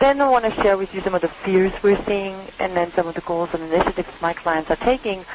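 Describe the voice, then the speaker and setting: A woman speaks at a very fast pace and medium pitch, with ordinary pitch variation. Noticeable background noise is present. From Germany. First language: German. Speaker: industry analyst. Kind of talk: webinar presentation.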